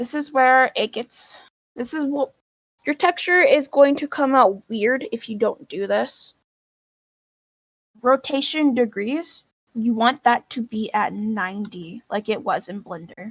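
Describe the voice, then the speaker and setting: The delivery is fairly slow, with lively intonation and big swings in loudness, in a dry, close sound with no echo. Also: woman, high pitch for a woman. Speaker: virtual world modding teacher. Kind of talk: tutorial.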